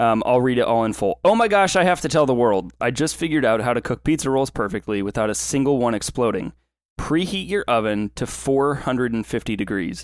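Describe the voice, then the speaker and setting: A normal speaking voice at a fairly quick pace, with lively intonation. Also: man, medium pitch for a man. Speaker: podcast co-host. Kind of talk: casual chat. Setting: online voice call.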